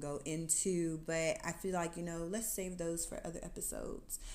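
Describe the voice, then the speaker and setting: A woman's fairly low voice with an American accent at a moderate pace, with audible room echo. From US, Atlanta area. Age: 30s. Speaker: podcast host. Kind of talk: testimony. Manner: casual, conversational.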